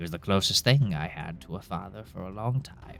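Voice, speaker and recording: A man does a put-on character voice at a moderate pace, with clear music in the background. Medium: actual play. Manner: laconic, plainspoken.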